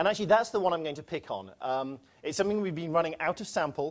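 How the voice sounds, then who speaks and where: A man with a British accent speaks at a very fast pace, his pitch swinging very widely. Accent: British accent, noted by himself. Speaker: quantitative research head at a bank. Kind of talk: conference presentation.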